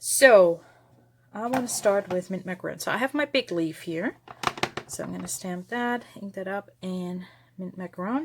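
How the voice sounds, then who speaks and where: A woman with a slight German accent speaks at a medium pitch and a moderate pace, her intonation lively. Her loudness swings a lot over noticeable background noise. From Germany. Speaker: papercraft video maker. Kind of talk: craft tutorial. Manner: casual, with many fillers.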